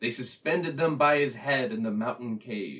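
A man's normal speaking voice, medium in pitch, with lively intonation. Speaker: podcast guest. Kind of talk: reading aloud and casual chat. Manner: jokey, laughs often.

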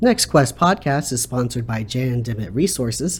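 This man speaks at a moderate pace with a medium pitch. His voice is somewhat breathy and his intonation is lively. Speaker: podcast host and counselor. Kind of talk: interview.

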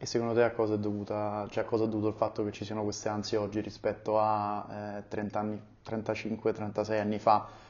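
At a fairly slow pace, a man talks in a fairly low pitch with flat, monotone intonation. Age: 30s. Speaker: podcast host. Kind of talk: casual interview. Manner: hesitant, many fillers.

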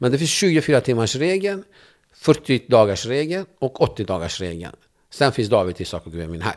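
Heard in a very clean recording with a silent background, a man with a medium pitch talks at a moderate pace. His pitch swings very widely, with vocal fry. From Turkey (Kurdish). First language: Kurdish (speaking Swedish). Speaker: journalist and debater. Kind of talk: interview conversation. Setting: studio.

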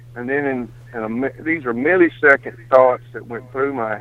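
Here is a man with a Mississippi accent. He talks at a moderate pace with fairly even intonation. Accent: Southern US (Mississippi). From US South, Mississippi. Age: 60s. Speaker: hunter. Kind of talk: storytelling.

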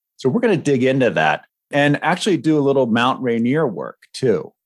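A man talks at a medium pitch and a moderate pace, in a normal speaking voice with lively intonation. The recording is very clean, with a silent background. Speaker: podcast co-host and ADHD coach. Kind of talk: podcast discussion.

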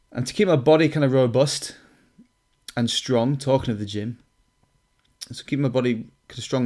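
A man at a medium pitch and moderate pace, fairly even intonation, on a very clean recording with a silent background. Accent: Lancashire. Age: 30s. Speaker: personal trainer. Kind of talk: solo podcast introduction. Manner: casual, with fillers.

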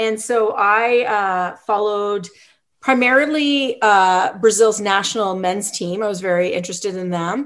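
A woman with a Canadian accent speaks in a normal speaking voice at a medium pitch. Her pace is fairly slow, her pitch variation is ordinary, and the background is quiet. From British Columbia, Canada. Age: 40s. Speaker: professor and soccer coach. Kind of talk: interview.

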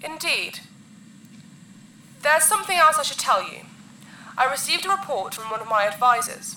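A woman in a put-on character voice, high-pitched and bright and sharp in tone, makes big pitch swings with audible room echo around her. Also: moderate pace.

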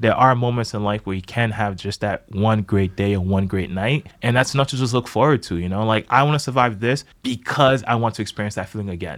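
An unremarkable speaking voice with an American accent moves at a fairly quick pace, with hardly any pauses. Pitch varies in an ordinary way, and the recording is very clean with a silent background. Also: man, fairly low pitch for a man. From US, Boston inner city. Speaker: dancer and choreographer. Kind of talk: casual chat. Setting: studio.

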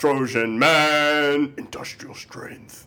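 Putting on a character voice, a man speaks at a fairly high pitch in a monotone, flat intonation. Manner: punchy, advertising delivery.

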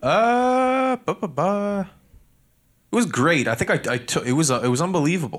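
A high-pitched man at a moderate pace with very wide pitch swings, on a very clean recording with a silent background. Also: very even loudness. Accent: Nova Scotia. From Canada, Halifax, Nova Scotia. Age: 20s. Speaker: podcast host and entrepreneur, former hockey player. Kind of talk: casual interview chat. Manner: hesitant, many fillers and repeated words.

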